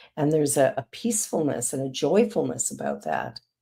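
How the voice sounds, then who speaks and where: A woman speaks with a very deep, low pitch and a dark, mellow tone, her voice dropping into vocal fry. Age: 60s. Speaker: talk show host. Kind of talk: interview conversation.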